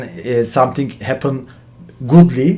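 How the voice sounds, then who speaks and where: A man with a Turkish accent at a fairly slow pace. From Turkey. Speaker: finance professional, channel host. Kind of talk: explainer talk to camera. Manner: halting, many fillers.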